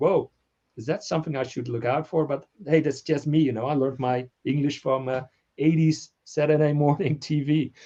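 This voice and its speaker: The tone is dark and mellow. It moves at a moderate pace with fairly even intonation. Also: man, fairly high pitch for a man. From Netherlands. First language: Dutch. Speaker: toy collector YouTuber. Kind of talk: casual chat.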